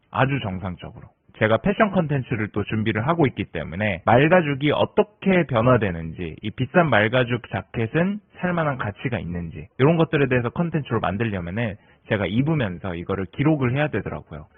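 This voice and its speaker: A man talks at a fairly quick pace in a medium pitch with very wide pitch swings. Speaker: YouTuber. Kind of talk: casual monologue. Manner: conversational.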